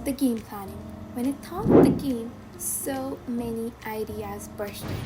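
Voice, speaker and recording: Over music in the background, a woman speaks fairly slowly in a room with audible echo. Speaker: student coder vlogger. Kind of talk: casual vlog narration. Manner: casual, animated.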